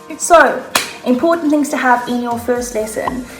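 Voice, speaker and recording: A woman speaks at a high pitch in an animated tone, with music in the background. Room echo is audible. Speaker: online English teacher. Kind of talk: casual talk to camera, tips.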